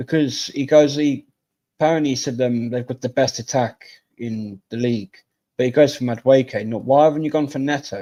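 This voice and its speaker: Using fairly even intonation, a man speaks at a medium pitch in a dark, mellow tone. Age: 30s. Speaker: football fan guest. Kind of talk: casual chat.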